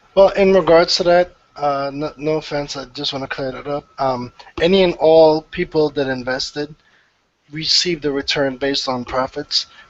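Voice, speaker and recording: At a moderate pace, a man with a fairly high voice speaks with fairly even intonation. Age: 30s. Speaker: gaming podcast panelist. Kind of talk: casual chat.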